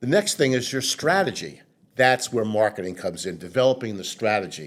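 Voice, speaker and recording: A man with a New York accent speaks at a fairly quick pace and a medium pitch, his pitch swinging very widely. The recording is very clean, with a silent background. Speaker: marketing consultant. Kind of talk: interview. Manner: halting.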